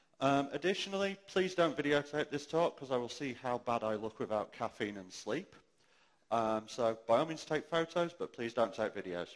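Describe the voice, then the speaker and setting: A man's fairly high voice with lively intonation and a British accent. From UK. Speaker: conference speaker. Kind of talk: conference talk. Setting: stage with audience, amplified. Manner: fast.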